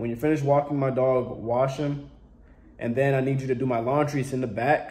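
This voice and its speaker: Somewhat breathy and dark, mellow in tone, a man talks fairly quickly with fairly even intonation. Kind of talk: comedic skit dialogue. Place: home room. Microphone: phone near.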